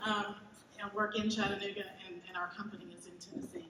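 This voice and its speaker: In an American accent, a woman of medium pitch speaks with audible room echo and noticeable background noise. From Georgia, US South. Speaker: keynote speaker, logistics innovation executive. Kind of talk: keynote presentation. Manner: fast; animated.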